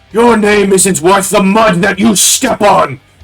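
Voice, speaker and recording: Shouting in a put-on character voice, a man speaks at a high pitch and a fairly slow pace. Music plays in the background. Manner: shouting, defiant.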